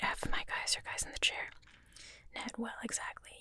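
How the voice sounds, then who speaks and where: Someone whispers over noticeable background noise. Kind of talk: script reading.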